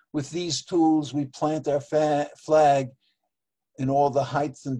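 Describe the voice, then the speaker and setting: This man has a dark, mellow tone and speaks at a fairly slow pace. His intonation is monotone and flat. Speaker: poet and open-mic regular called the judge. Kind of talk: poetry reading, dense literary imagery.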